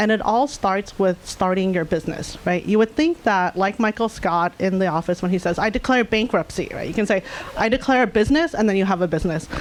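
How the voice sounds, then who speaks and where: Over noticeable background noise, a woman at medium pitch talks at a fairly quick pace with hardly any pauses and ordinary pitch variation. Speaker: data science leader. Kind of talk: conference talk. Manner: fast.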